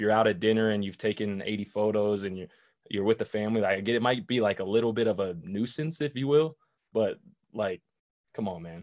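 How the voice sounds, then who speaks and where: In a plain, everyday voice, a man speaks at a fairly quick pace, his fairly low pitch showing ordinary variation. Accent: American. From Boulder, Colorado, US. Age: young. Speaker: former football player and TV analyst. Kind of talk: casual chat. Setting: video call.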